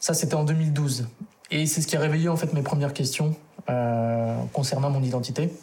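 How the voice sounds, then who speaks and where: At a moderate pace, this clip features a normal speaking voice. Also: man, fairly high pitch for a man, very even loudness. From France, Lyon region. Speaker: adoptee. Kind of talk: testimony.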